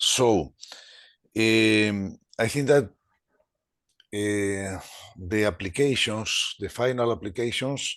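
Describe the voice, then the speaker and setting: A man with a Spanish accent speaks at a very slow pace in a fairly low pitch, with ordinary pitch variation, long, frequent pauses and a quiet background. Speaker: webinar participant, health technology expert. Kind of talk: webinar discussion. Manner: halting.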